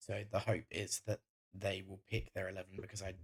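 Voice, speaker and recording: Somewhat breathy and fairly low, a man's voice moves at a moderate pace with monotone, flat intonation. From northern England, Greater Manchester. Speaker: gaming YouTuber. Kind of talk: gameplay commentary. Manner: casual, frequent filler ums.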